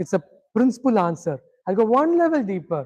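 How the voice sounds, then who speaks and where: The speaker talks at a moderate pace with a Tamil accent. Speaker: spiritual teacher. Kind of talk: lecture.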